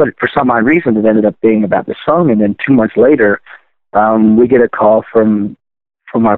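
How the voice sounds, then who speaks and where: This man has a medium pitch and ordinary pitch variation. He speaks with an American accent at a moderate pace. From Baltimore, Maryland. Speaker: rock singer. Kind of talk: casual interview.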